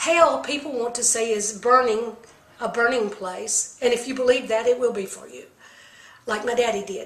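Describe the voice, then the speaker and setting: A woman talks at a moderate pace with a high pitch. Noticeable background noise and audible room echo fill the recording. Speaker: medium and psychic. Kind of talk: monologue on spiritual beliefs.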